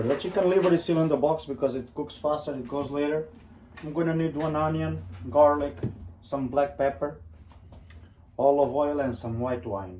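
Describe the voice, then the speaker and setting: In a Portuguese accent, the speaker uses a dark, mellow tone with ordinary pitch variation. The pace is moderate, broken by long, frequent pauses. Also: man, fairly high pitch for a man. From Portugal. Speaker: cooking vlogger. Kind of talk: cooking tutorial. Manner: casual.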